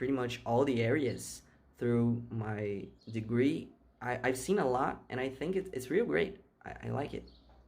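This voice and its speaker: Amid audible room echo, a man speaks at a fairly slow pace in a medium pitch. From Brazil. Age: 20s. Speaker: software engineer. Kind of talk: interview answers. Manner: halting, repeats words.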